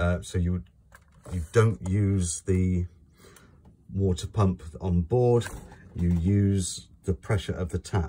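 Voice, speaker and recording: A man speaks very slowly, with long, frequent pauses and a somewhat breathy delivery. His very deep, low pitch carries a dark, mellow tone over fairly even intonation. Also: very clean recording, silent background. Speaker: caravan dealer presenter. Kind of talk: product walkthrough tutorial. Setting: inside a caravan.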